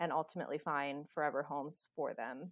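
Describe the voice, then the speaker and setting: Against a quiet background, a woman with a plain, everyday voice speaks at a moderate pace with fairly even intonation. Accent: American. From US Midwest, greater Cincinnati, Ohio. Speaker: animal shelter director. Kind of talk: casual interview conversation.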